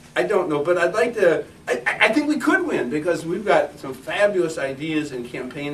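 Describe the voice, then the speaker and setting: Lively intonation comes through noticeable background noise and audible room echo. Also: man. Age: 60s. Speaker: political candidate and activist. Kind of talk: campaign speech at meeting. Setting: meeting room with audience. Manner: halting.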